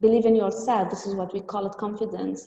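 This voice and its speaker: A woman's fairly high voice in an Arabic accent, fairly even in intonation, with audible room echo. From Tunisia. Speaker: trainer. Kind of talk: webinar talk. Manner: halting.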